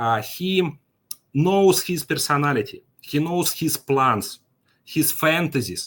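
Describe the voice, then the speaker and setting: A man speaks at a very slow pace. His fairly high voice has lively intonation. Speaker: financial markets expert. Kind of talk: conference presentation. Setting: online conference with chat. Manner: halting, many fillers.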